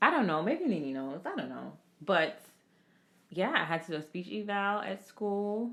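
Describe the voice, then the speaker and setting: Relaxed in tone, a woman speaks at a medium pitch and a moderate pace, with very wide pitch swings. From Jamaica, moved to Florida at age nine. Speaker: podcast co-host, healthcare professional. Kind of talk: casual chat. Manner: relaxed, conversational.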